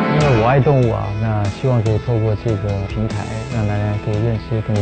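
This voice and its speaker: Over loud music in the background, a man talks at a fairly quick pace. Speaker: singer and guest narrator. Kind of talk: interview answer. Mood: warm, relaxed. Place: studio.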